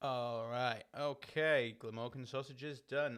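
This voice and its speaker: At a very slow pace, a man speaks at medium pitch in a relaxed tone. His intonation is monotone and flat. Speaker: online quiz host. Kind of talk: live-streamed quiz hosting. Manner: casual, relaxed.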